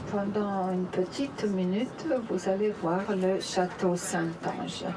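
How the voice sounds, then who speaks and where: Over noticeable background noise, a woman speaks very slowly at medium pitch, with fairly even intonation and very even loudness. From Italy. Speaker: tour guide. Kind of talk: guided tour explanation. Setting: outdoors at the Vatican, then on a bus.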